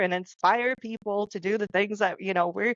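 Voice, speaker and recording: A woman speaks with a non-native accent. Her pitch sits in the medium range. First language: not English. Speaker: podcast co-host, author. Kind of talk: casual panel discussion.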